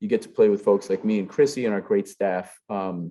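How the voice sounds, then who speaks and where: Over a quiet background, a man talks with a strong Brooklyn accent. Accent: thick Brooklyn. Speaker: forum host, executive director of civic organization. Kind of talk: closing announcements. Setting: live event hall. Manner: many filler uhs, halting.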